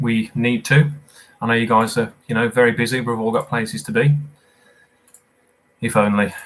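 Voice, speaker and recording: Speaking with a British accent at a moderate pace, a man of medium pitch keeps a fairly even intonation and leaves long, frequent pauses. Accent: regional British accent, noticeable. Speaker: quizmaster. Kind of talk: live quiz hosting. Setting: live stream. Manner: casual, chatty with fillers.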